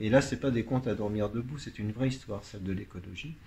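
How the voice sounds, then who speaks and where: A man speaks somewhat breathily at a fairly quick pace. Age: 60s. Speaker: pianist and author. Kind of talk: radio interview.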